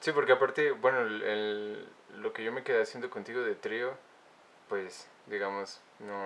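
A man talks at a medium pitch with ordinary variation. Noticeable noise runs in the background. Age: 20s. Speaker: podcast host, musician. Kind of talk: casual chat.

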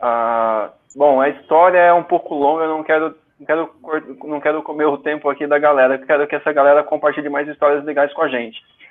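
A man with an unremarkable speaking voice, fairly high pitch, fairly even intonation and a fairly quick pace. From Brazil, São Paulo. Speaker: running community founder. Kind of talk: casual live stream chat. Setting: online live stream.

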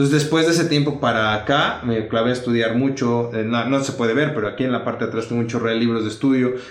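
A man talks at a fairly quick pace with ordinary pitch variation. Noticeable background noise and audible room echo are present. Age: 30s. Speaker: dentist and youth pastor. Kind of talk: casual interview chat.

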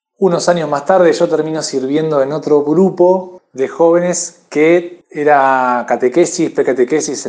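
At a fairly slow pace with ordinary pitch variation, this is a plain, everyday voice. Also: man. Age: 30s. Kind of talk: testimony.

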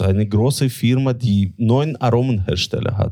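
A man speaks with a Russian accent. His pitch variation is ordinary. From Latvia. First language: Russian (speaking German). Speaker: tobacco importer. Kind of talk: interview.

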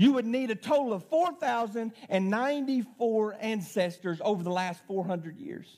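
A man with an Arkansas accent speaks in a high voice at a moderate pace, his intonation lively and his words running on with hardly any pauses. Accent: Southern US (Arkansas). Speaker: pastor. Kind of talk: sermon. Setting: church with congregation.

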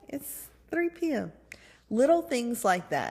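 A woman talks at a moderate pace with very wide pitch swings. The recording is very clean, with a silent background. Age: 30s. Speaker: podcast host and lactation consultant. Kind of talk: solo personal podcast monologue. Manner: casual, with frequent fillers.

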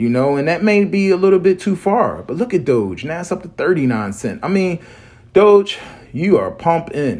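A man moves through very wide pitch swings while keeping a moderate pace. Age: 40s. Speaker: crypto podcast host. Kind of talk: solo monologue show. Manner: rambling, filler-heavy.

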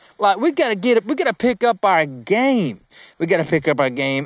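A man with a slight Southern US accent speaks in a high voice at a moderate pace. His pitch swings very widely, and the sound is dry and close with no echo. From South Georgia, US. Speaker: podcast host, sales coach. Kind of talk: solo podcast monologue. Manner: casual, chatty, animated.

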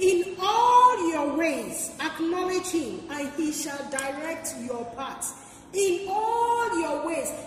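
Over noticeable background noise, a woman with an extremely high pitch speaks at a very slow pace with hardly any pauses and lively intonation. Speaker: pastor. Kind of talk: sermon.

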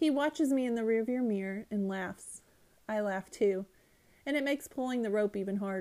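The clip offers plain reading aloud. Its pitch varies in an ordinary way.

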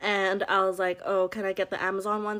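The voice belongs to a woman with a medium pitch. The recording is very clean, with a silent background. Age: 20s. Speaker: podcast co-host. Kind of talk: casual chat.

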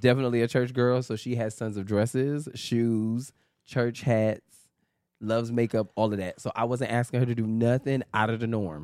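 A man with an American accent, medium pitch, an animated tone and a moderate pace. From New York. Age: 30s. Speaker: podcast co-host. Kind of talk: casual chat.

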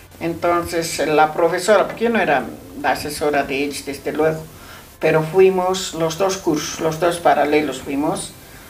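A woman with a very deep, low voice speaks at a moderate pace with fairly even intonation, amid audible room echo and noticeable background noise. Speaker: math teacher. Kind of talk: casual interview.

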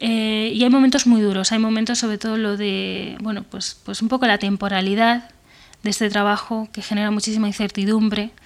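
Speaking at a moderate pace, a woman holds a fairly high pitch with monotone, flat intonation. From Spain, Benavente (Zamora). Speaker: screenwriter. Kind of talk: interview. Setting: remote call from home.

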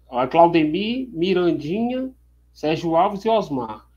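A man with a high-pitched voice speaks with lively intonation. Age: 40s. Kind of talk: interview.

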